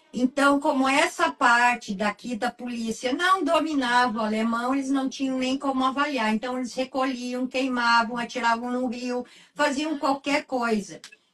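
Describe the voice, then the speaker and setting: Noticeable background noise sits behind the voice. The pace is moderate, and the pitch varies in an ordinary way. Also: woman, high pitch for a woman. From southern Brazil, Candelária, Rio Grande do Sul. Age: 60s. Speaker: writer and researcher. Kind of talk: interview. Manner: halting, many fillers.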